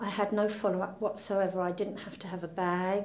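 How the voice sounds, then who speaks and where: In an English accent, a woman with a medium-pitched voice speaks at a moderate pace in a monotone, flat way, with audible room echo. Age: 70s. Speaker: cancer patient. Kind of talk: testimony.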